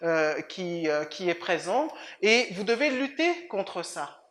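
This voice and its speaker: With a Swiss French accent, a woman speaks at a medium pitch. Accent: fairly European (Swiss French). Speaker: lawyer. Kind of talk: interview. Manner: halting, many repetitions.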